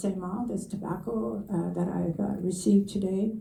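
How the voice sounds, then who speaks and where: In a room with audible echo, a woman with a medium pitch speaks at a fairly slow pace in a dark, mellow, somewhat breathy tone with ordinary pitch variation. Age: 80s+. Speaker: elder. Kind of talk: panel testimony. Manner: halting, many fillers.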